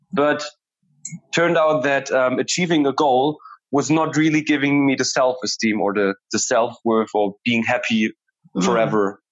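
A man with a German accent at a moderate pace, with ordinary pitch variation and very even loudness. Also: medium pitch for a man. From Germany. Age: 20s. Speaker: conflict transformation coach. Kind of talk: interview conversation. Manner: hesitant, many fillers.

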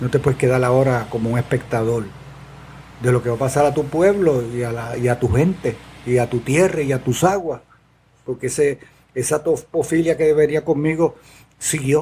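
Somewhat breathy, a man speaks at a moderate pace with long, frequent pauses, his medium-pitched voice dark and mellow in tone. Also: ordinary pitch variation. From Puerto Rico, Adjuntas. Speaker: environmental activist, community organization founder. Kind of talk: interview. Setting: in person at the guest's organization.

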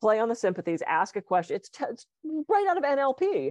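A woman's pitch swings very widely. The sound is dry and close, with no echo. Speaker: podcast co-host and hypnotist. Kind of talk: casual conversational podcast. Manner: fast talker.

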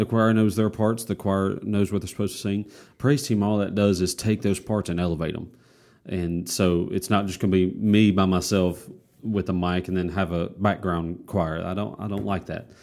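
At a moderate pace, a man with an unremarkable speaking voice talks at a fairly low pitch. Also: very clean recording, silent background. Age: 20s. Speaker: church worship pastor. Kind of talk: casual interview.

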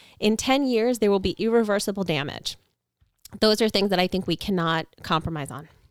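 With an American accent, a woman talks at a fairly quick pace in an ordinary speaking voice, her medium pitch carried by lively intonation. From Long Island, New York. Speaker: congressional candidate. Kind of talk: interview. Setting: home podcast studio.

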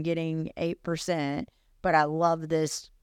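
A woman with a Southern US accent speaks on a very clean recording with a silent background. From US South, Alabama and Texas-Arkansas border area. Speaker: realtor and podcast co-host. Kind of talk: casual chat.

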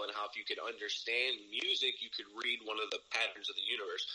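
With noticeable background noise behind him, a man with an American accent talks at a very fast pace. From Ohio, US Midwest. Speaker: rapper. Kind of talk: casual interview chat. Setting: video or phone call. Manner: casual, profane, laughs often.

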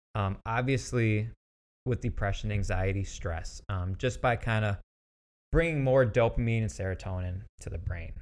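This man has an ordinary speaking voice, fairly low in pitch, with ordinary pitch variation. He speaks at a moderate pace on a very clean recording with a silent background. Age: 30s. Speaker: podcast host, rehab and fitness professional. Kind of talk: personal monologue on mental health. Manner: casual, many fillers and restarts.

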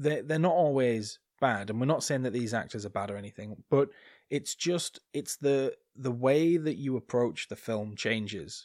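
A man with a northern English accent speaks at a moderate pace in a medium pitch, his intonation lively, on a very clean recording with a silent background. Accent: non-RP British, regional northern. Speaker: podcast co-host. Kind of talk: casual chat, podcast recap.

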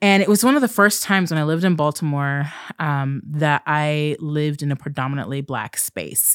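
Speaking with an American accent at a fairly quick pace, a woman has a very deep, low pitch and ordinary pitch variation. The sound is dry and close with no echo, on a very clean recording with a silent background. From southern Oregon, US West Coast. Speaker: clinical psychologist and podcast co-host. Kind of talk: casual chat.

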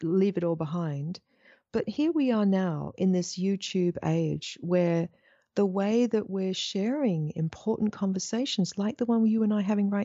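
Against a quiet background, a woman with a slight English accent speaks at a fairly slow pace in a dark, mellow tone, the sound dry and close with no echo. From Australia. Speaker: spiritual teacher. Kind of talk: interview. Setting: video call.

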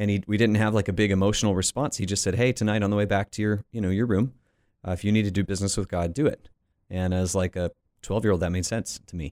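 Speaking at a very fast pace with an American accent, a man uses a fairly low pitch and fairly even intonation, in a dry, close sound with no echo on a very clean recording with a silent background. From US South, Florida Panhandle. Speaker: pastor and author. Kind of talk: interview.

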